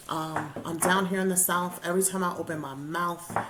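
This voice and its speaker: Speaking at a fairly slow pace in a strong New York accent, a woman is heard with audible room echo and noticeable background noise. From New York, the Bronx. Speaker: podcast co-host. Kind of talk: casual chat.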